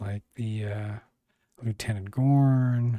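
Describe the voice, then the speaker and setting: At a very slow pace, a man of medium pitch speaks in a dark, mellow tone with monotone, flat intonation. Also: dry, close sound with no echo. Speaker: YouTube TV reviewer. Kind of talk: solo video review. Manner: halting, many fillers.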